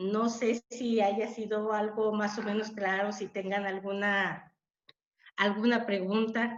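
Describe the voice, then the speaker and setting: Her fairly high voice stays monotone and flat as the woman speaks at a very slow pace. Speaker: webinar speaker, teacher. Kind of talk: webinar talk.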